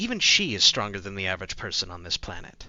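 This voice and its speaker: Using a put-on character voice, a man talks at a very fast pace with a fairly low pitch. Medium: actual play. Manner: cold, superior.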